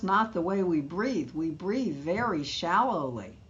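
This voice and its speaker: A woman with an American accent speaks at a moderate pace. Audible room echo surrounds her voice. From New York. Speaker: midlife wellness educator. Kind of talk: interview conversation.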